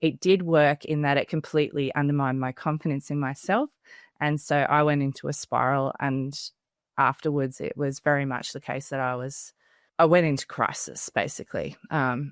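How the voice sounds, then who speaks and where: Over a very clean recording with a silent background, a woman speaks with an Australian accent at a moderate pace. Her very deep, low pitch and fairly even intonation come through dry and close, with no echo. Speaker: parenting educator, mother of three. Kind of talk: podcast interview.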